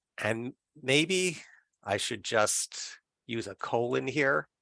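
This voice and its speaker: In a quiet background, a man's bright, sharp tone carries vocal fry, with a dry, close sound and no echo. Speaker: meeting moderator. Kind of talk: online work meeting discussion.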